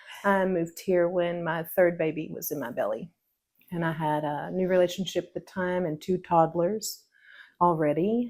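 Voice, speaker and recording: On a very clean recording with a silent background, a woman in an East Texas accent speaks at a moderate pace with a fairly low pitch, fairly even intonation and big swings in loudness. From Northeast Texas (East Texas Piney Woods). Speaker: pickle maker interviewed on a local podcast. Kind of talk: casual interview, personal life story. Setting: her home kitchen while canning.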